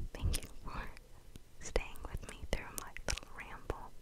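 A soft-spoken woman whispering at a very slow pace. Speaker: ASMR creator. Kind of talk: casual vlog chat, soft ASMR ramble. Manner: close soft whisper into microphone. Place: home room. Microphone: studio mic.

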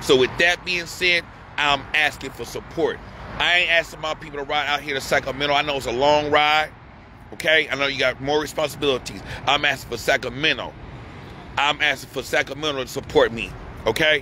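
With fairly even intonation, a man speaks at a fairly quick pace in a dry sound with no echo over light background noise. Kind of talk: urgent appeal to viewers. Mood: distressed, angry, pleading. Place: street. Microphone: phone near.

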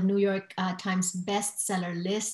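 The speech moves at a fairly slow pace with audible room echo. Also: woman. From Filipino heritage. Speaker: talk show host. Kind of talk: interview. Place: home room. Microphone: webcam.

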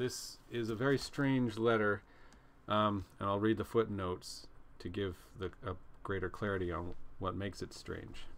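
At a moderate pace, a man with a fairly low pitch and fairly even intonation talks in a plain, everyday voice. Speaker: book reader, commentator. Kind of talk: casual vlog chat. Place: home room. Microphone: webcam.

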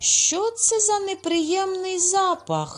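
A squeaky put-on character voice from a woman, extremely high in pitch and very slow, with faint music in the background. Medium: read story.

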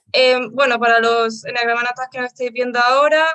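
Against a quiet background, the voice has a bright, sharp tone and fairly even intonation. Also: woman. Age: 20s. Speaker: co-host; interview co-host. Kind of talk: host introduction; interview introduction. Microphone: headset.

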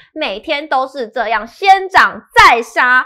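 In a raised, projected voice, a woman with a Taiwanese accent speaks at a high pitch with a bright, sharp tone and very wide pitch swings against a quiet background. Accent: Taiwanese Mandarin. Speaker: show presenter; presenter. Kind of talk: scripted news reading. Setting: studio. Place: studio. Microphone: headset.

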